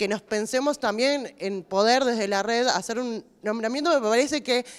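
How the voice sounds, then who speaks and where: Moderate pace, ordinary pitch variation, and a fairly high pitch in a woman's plain, everyday voice. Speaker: health worker, activist. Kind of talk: panel discussion.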